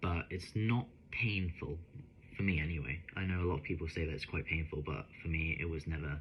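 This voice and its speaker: At a fairly quick pace, a man speaks in a very deep, low, somewhat breathy voice with ordinary pitch variation. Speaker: vlogger. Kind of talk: personal vlog. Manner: halting with fillers.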